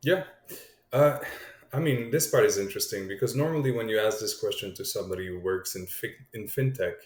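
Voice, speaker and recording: A man talks at a fairly quick pace, his loudness rising and falling sharply. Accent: Quebec. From Quebec, Montreal. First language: French. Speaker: crypto startup co-founder. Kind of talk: podcast interview.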